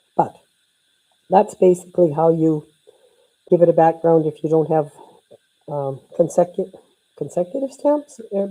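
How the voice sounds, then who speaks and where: Long, frequent pauses break up speech at a moderate pace with a dark, mellow tone and big swings in loudness. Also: woman. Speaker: card-making instructor. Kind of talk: live craft tutorial. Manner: casual, chatty.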